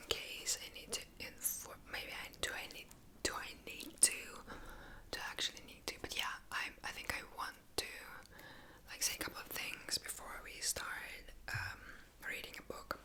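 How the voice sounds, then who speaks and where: Whispering at a fairly slow pace, the speaker leaves long, frequent pauses amid noticeable background noise. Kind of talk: casual talk to camera intro. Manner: whispered, soft.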